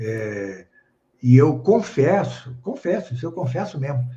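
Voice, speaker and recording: A man's somewhat breathy, dark, mellow tone in a medium pitch, very slow in pace, with lively intonation. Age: 70s. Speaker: professor and author. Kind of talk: casual interview on a live stream. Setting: online live stream. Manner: hesitant, many fillers.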